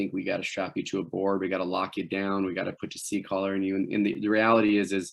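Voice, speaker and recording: A man at a very fast pace, his pitch fairly low. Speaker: wilderness medicine instructor. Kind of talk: lecture.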